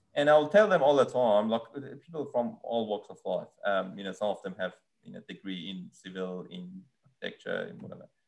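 Over music in the background, a man talks fairly quickly with big swings in loudness. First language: Persian. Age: 30s. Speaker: land surveyor. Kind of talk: casual interview. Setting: video call.

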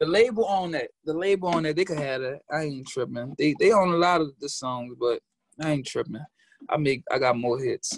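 A man with a New Orleans accent speaks at a fairly quick pace. His pitch sits fairly high, and his intonation is lively. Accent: New Orleans Southern US. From New Orleans, Louisiana. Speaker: rapper, music artist. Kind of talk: casual interview chat. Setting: video call from New York. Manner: casual, slangy.

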